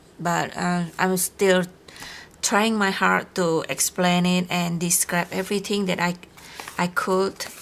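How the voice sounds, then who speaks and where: A woman with a non-native accent, very slow and monotone, with flat intonation over noticeable background noise. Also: medium pitch for a woman. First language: not English. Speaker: crafting YouTuber. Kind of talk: unboxing video. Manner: halting.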